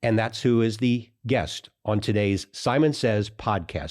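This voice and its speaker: A man's plain, everyday voice at medium pitch and a fairly slow pace, against a quiet background. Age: 60s. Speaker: podcast host and financial planner. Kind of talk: interview conversation.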